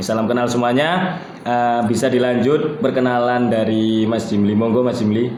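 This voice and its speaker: Audible room echo and noticeable background noise fill this recording. A man of medium pitch talks at a fairly quick pace. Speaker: student podcast host. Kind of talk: casual podcast chat.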